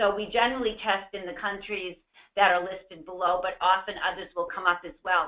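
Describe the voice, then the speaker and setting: In a Boston accent, the speaker talks at a fairly quick pace with fairly even intonation and big swings in loudness. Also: woman, medium pitch for a woman. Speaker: medication safety consultant, former pharmacist. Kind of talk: webinar presentation. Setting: online webinar. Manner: hesitant fillers.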